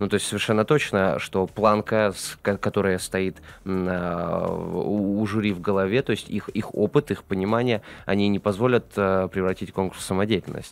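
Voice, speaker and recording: A man's fairly low-pitched voice at a moderate pace with fairly even intonation. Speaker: radio and TV talk show host. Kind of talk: live studio interview. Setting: studio. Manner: verbose, talkative. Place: studio. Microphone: studio mic.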